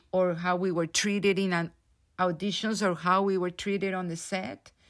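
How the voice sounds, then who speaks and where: On a very clean recording with a silent background, a woman with a Spanish accent speaks at a fairly slow pace, her medium pitch held to fairly even intonation. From Colombia. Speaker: theatre director. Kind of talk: interview. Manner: halting.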